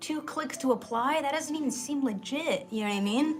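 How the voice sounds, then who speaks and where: With music in the background, a woman with a slight Pittsburgh accent speaks with lively intonation. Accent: slight Pittsburgh accent, slips in casually. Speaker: livestreamer. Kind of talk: casual live stream chat. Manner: casual, chatty.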